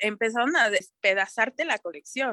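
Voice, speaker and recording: A woman talks at a fairly slow pace with ordinary pitch variation. Her sound is dry and close, with no echo. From Mexico, Toluca. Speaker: sustainability consultant, fashion designer. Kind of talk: interview, casual chat.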